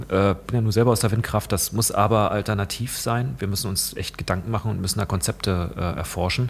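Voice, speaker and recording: The voice has vocal fry. It moves at a fairly quick pace with hardly any pauses. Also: man. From Saxony-Anhalt, eastern Germany. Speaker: politician and works council chair. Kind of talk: casual interview. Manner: halting, many fillers.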